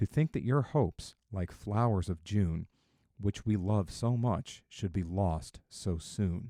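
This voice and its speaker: Very slowly, a man speaks in a fairly low pitch with a dark, mellow, calm and soothing tone and ordinary pitch variation, on a very clean recording with a silent background. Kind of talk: poetry reading. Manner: calm, soothing.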